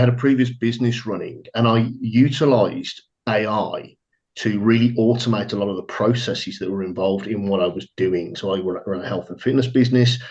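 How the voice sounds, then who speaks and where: Speaking at a fairly quick pace with an English accent, a man uses a medium pitch with ordinary pitch variation. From England. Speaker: trading firm staff, former fitness business owner. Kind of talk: webinar self-introduction. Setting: online webinar.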